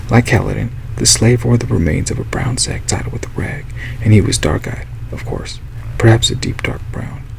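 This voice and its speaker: Softly spoken over noticeable background noise, a man with a very deep, low pitch talks at a fairly quick pace, his pitch swinging very widely. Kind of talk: audiobook reading. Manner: soft-spoken.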